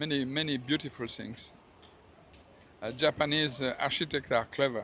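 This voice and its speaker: With a French accent, a man talks at a moderate pace and a fairly high pitch, his tone bright and sharp and his intonation fairly even. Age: 70s. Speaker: retired hotel manager. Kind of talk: street interview. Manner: halting.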